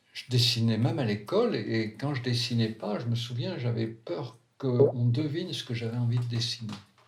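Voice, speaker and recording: A man talks at a moderate pace with a somewhat breathy voice. His intonation is fairly even. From France, Valence. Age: 70s. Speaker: psychiatrist. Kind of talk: autobiographical narration.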